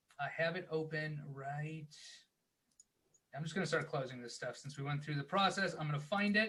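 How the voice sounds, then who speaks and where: A man's bright, sharp voice, fairly high-pitched, broken by long, frequent pauses. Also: ordinary pitch variation. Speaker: guest speaker on book publishing. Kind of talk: tutorial. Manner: fast.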